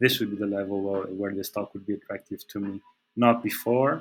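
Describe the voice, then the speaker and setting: His pitch is fairly low and his intonation monotone and flat. He speaks with a Portuguese accent. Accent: non-native English, Portuguese. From Portugal. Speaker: trading analyst. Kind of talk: technical analysis commentary. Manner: halting, many fillers and repetitions.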